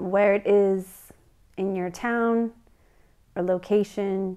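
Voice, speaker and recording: A soft-spoken woman talks at a very slow pace in a calm tone, her medium pitch held in a flat monotone against a quiet background. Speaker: meditation guide. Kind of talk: guided meditation. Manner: calm, soft-spoken, slow. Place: home room.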